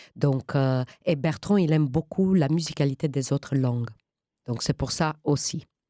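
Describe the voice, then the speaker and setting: A woman with a very deep, low pitch and a dark, mellow tone speaks at a fairly slow pace in a dry, close sound with no echo. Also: ordinary pitch variation. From Romania. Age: 50s. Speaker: actress. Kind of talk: interview. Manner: halting.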